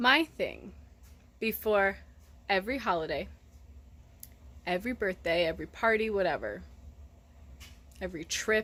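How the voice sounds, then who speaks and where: A woman with a bright, sharp tone and vocal fry speaks at a medium pitch and a moderate pace, using lively intonation and long, frequent pauses, on a very clean recording with a silent background. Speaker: vlogger, mother. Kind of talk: casual vlog monologue. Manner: mumbling, slurring words.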